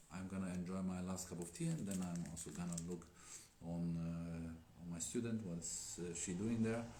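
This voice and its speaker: In a non-native accent, a man with a very deep, low pitch talks at a moderate pace with fairly even intonation and audible room echo. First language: not English. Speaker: Daoist teacher. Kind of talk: live stream chat. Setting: Instagram live stream. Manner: hesitant.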